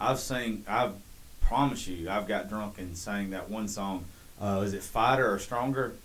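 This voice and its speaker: Speaking at a fairly slow pace, a man with a fairly low pitch keeps his intonation fairly even amid audible room echo. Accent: Southern US. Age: 30s. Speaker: podcast host. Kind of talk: casual chat.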